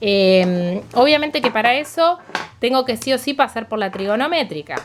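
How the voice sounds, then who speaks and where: A woman speaks with very wide pitch swings. Noticeable background noise is present. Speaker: math teacher. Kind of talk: tutorial. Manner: fast.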